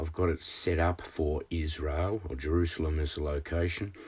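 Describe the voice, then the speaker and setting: This man's voice is somewhat breathy. It sits at a very deep, low pitch. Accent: Australian. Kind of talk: screen-share tutorial talk. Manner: halting, many fillers.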